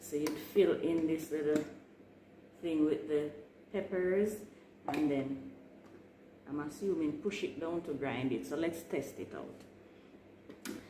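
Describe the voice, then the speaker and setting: A woman with a very deep, low pitch and ordinary pitch variation speaks at a very slow pace, pausing long and often. Audible room echo and noticeable background noise fill the recording. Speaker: home gardener vlogger. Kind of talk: tutorial. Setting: at home, early morning. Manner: soft-spoken.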